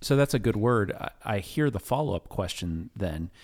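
A man with an ordinary speaking voice talks at a moderate pace in a fairly low pitch with lively intonation, recorded very cleanly over a silent background. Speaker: pastor. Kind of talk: casual chat.

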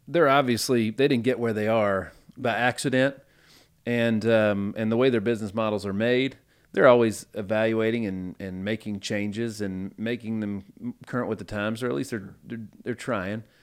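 On a very clean recording with a silent background, a man with a Tennessee accent talks at a moderate pace and a medium pitch. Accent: Southern US (Tennessee). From US South, Nashville, Tennessee. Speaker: podcast host. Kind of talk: casual interview chat. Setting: studio. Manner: animated.

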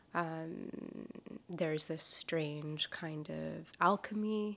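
The voice belongs to a woman. Its pitch shifts in an ordinary way. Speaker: painter and animation artist. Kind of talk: interview. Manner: halting, many fillers.

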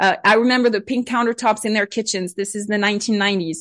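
With a French accent, a woman speaks at a fairly high pitch with ordinary pitch variation over a quiet background. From France, Bordeaux region. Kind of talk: interview.

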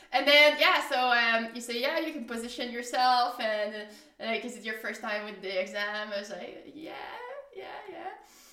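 Ordinary pitch variation, audible room echo, and music playing in the background. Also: woman. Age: 30s. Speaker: podcast guest. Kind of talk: casual storytelling.

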